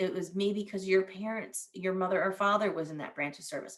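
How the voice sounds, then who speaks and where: A woman at a medium pitch speaks at a fairly quick pace in an ordinary speaking voice. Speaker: veteran career advisor. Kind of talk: presentation. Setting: virtual event.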